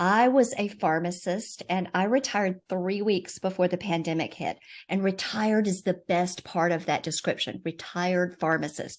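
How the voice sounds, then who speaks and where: Against a quiet background, a woman with a Southern US accent talks at a moderate pace with hardly any pauses. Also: medium pitch for a woman, ordinary pitch variation. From US South. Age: 50s. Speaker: financial coach, retired pharmacist. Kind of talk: casual chat.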